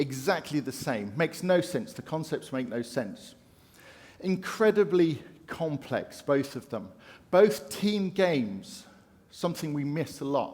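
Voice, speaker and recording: The voice has a British accent and vocal fry. It moves at a fairly slow pace with very wide pitch swings. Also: man, fairly high pitch for a man. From UK. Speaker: conference speaker. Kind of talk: keynote talk. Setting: stage with audience.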